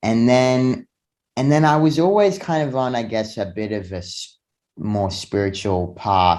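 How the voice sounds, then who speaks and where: A man's voice, showing ordinary pitch variation, comes through over a quiet background. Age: 20s. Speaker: fitness and self-development influencer. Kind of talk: casual interview. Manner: halting with frequent fillers.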